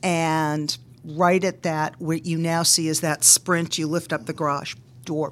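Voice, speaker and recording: A woman with an American accent speaks in a very deep, low pitch at a fairly slow pace and a monotone, flat intonation. The recording is very clean, with a silent background. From Boston, US. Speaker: meteorologist and business owner. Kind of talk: interview.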